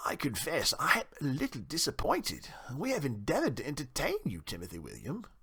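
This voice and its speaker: A man puts on a character voice. He talks at a fairly quick pace. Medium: read story. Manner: genteel, well-bred.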